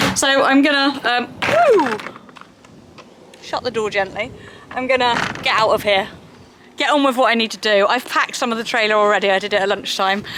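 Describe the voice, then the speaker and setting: Speaking at a fairly quick pace in a Cornish accent, a woman with a fairly high pitch and ordinary pitch variation leaves long, frequent pauses over noticeable background noise. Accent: Cornish twang. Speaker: equestrian vlogger. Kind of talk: casual vlog talk to camera.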